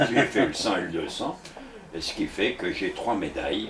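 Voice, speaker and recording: Noticeable background noise runs behind the speech. A man talks at a fairly slow pace. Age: 80s+. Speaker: doctor and author. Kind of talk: interview. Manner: halting.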